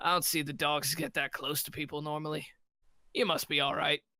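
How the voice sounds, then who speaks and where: Putting on a gruff character voice at a fairly high pitch, a man talks at a fairly quick pace. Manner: barking, laughing.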